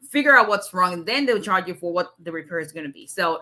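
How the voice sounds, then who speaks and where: Her intonation lively, a woman speaks at a medium pitch in a bright, sharp tone. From Nigeria. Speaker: immigration lawyer. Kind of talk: live stream Q&A. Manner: fast.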